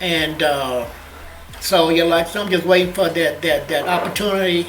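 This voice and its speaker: A man's high voice at a moderate pace, fairly even in intonation, with audible room echo and noticeable background noise. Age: 60s. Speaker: comedian. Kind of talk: casual chat. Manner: stutter.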